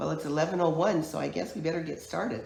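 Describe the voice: A woman talks in a low pitch with vocal fry and a slightly mellow tone. Strong room echo surrounds her voice.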